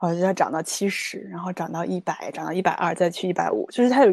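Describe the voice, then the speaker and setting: Dark and mellow in tone with vocal fry, a woman rattles along at a very fast pace. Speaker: life coach. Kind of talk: interview conversation.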